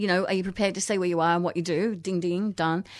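A woman with an Australian accent speaks in an animated tone against a quiet background. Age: 50s. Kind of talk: casual interview. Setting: radio studio.

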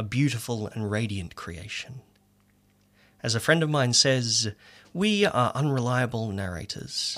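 A man with an Australian accent speaks at medium pitch and a fairly slow pace, with lively intonation. The recording is very clean, with a silent background. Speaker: poet. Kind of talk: casual chat; poetry reading. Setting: radio studio.

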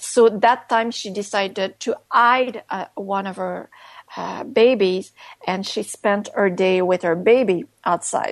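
A woman's fairly high voice with a Quebec accent, at a fairly slow pace with ordinary pitch variation. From Quebec, Canada. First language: French. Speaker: author and activist. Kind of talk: interview.

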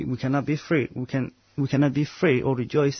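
Fairly quick and somewhat breathy, a man's voice carries fairly even intonation. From Uganda. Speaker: anti-racism activist. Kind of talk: radio interview. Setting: studio.

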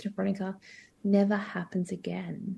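A somewhat breathy woman's voice with an Australian accent, dark and mellow in tone, flat and monotone. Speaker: legal service CEO. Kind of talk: interview.

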